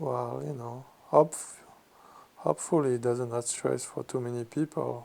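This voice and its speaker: A man with a French accent, relaxed and dark, mellow in tone, with ordinary pitch variation at a fairly slow pace. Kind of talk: ASMR magazine reading and commentary. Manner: slow, relaxed.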